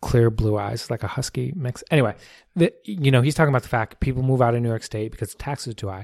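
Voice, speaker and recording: In a very clean recording with a silent background and a dry, close sound with no echo, a man with an American accent speaks at medium pitch with ordinary pitch variation and a dark, mellow tone. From New Jersey. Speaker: city mayor. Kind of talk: casual chat. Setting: home dining room used as studio.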